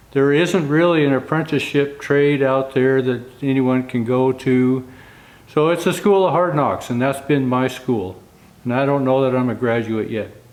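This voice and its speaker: Against noticeable background noise, a man talks at a moderate pace and a medium pitch with ordinary pitch variation. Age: 60s. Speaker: wagon and carriage builder. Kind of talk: casual vlog talk to camera.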